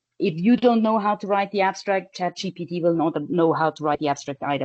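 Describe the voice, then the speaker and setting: Talking at a very fast pace, a woman uses a fairly low voice with ordinary pitch variation. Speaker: professor of infectious disease epidemiology. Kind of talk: webinar lecture. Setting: online webinar.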